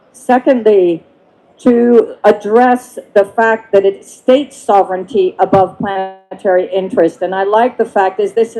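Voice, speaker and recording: A woman speaks at a medium pitch and a fairly slow pace, with ordinary pitch variation. Music plays in the background. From France/Belgium. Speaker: climate policy expert, panelist. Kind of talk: panel discussion.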